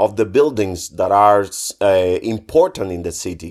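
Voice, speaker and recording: A man speaks with a Spanish accent on a very clean recording with a silent background. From Cuba. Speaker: visual artist. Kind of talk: interview. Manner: hesitant, many fillers.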